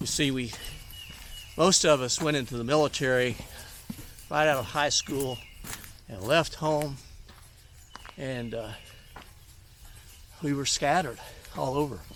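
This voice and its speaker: The speech comes at a fairly slow pace with long, frequent pauses and ordinary pitch variation. The tone is relaxed, with noticeable background noise. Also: man, fairly high pitch for a man. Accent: Alabama. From US South, North Alabama. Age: 60s. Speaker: hiking vlogger. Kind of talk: casual vlog talk while hiking. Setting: outdoors on a trail. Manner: relaxed, many hesitations.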